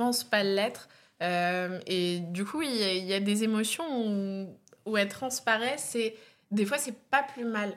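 A woman speaks in an unremarkable speaking voice. Her pitch sits fairly high and varies in an ordinary way. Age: 20s. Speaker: comedian. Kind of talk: casual chat.

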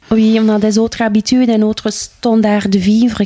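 A woman with a Flemish accent speaks at a very slow pace in a fairly high pitch, her tone dark and mellow, with a dry, close sound and no echo. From Flanders, Campine (Herselt). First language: Dutch (Flemish) (speaking French). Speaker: Flemish woman settled in the Ardennes. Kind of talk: interview conversation. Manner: halting, many hesitations.

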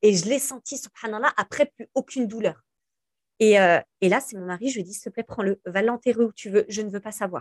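With an ordinary speaking voice, a woman talks at a fairly quick pace and fairly high pitch, her pitch varying normally while her loudness swings widely in a dry, close sound with no echo. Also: quiet background. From France, Algerian family. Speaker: influencer and entrepreneur. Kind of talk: interview conversation.

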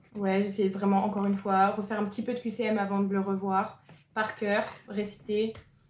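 A woman speaks at a moderate pace in a medium pitch, her intonation flat and monotone, with noticeable background noise behind her. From northern France (Lille). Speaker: medical student. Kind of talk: testimony.

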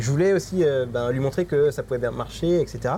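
Here a man with an ordinary speaking voice and a fairly high pitch talks at a fairly quick pace with ordinary pitch variation. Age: 30s. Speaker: digital marketing agency owner. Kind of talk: interview.

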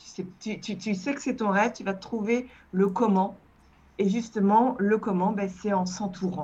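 Her voice carries a somewhat breathy quality. This woman talks fairly slowly. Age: 50s. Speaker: digital communication agency founder. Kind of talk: interview. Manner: halting.

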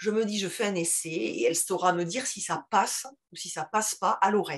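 A woman speaks with a strong Toulouse accent. Her pace is moderate. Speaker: teacher and podcast founder. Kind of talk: interview. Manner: halting.

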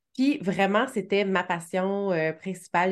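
Over a quiet background, a woman with a slight Quebec accent speaks fairly slowly with fairly even intonation. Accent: slight Québécois French. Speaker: web marketing strategist, agency founder. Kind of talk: interview conversation.

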